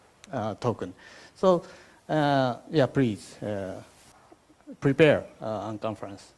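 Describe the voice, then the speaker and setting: The speech comes at a very slow pace in a Japanese accent, with long, frequent pauses. Its intonation is lively. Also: man, medium pitch for a man. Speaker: event host. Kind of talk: opening remarks at conference. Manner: halting, many fillers.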